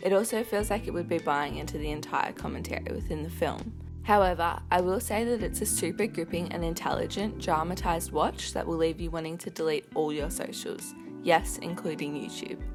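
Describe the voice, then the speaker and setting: A woman speaks at a fairly quick pace with music playing in the background. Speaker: film reviewer. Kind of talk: casual film review to camera.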